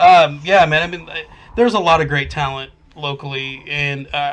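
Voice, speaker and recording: Fairly high-pitched male speech, moderately paced. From Oklahoma. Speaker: metal band vocalist. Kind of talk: casual podcast chat. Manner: halting, many fillers.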